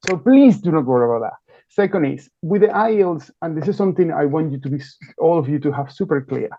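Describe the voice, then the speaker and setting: The man talks at a very fast pace, his fairly high pitch carried by lively intonation. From Venezuela. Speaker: university admissions representative. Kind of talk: webinar presentation. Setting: live webinar.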